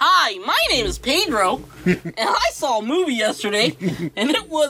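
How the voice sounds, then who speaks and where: In a put-on character voice, a female-sounding speaker uses a fairly high pitch with very wide pitch swings at a moderate pace over clear background noise. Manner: mocking put-on voice.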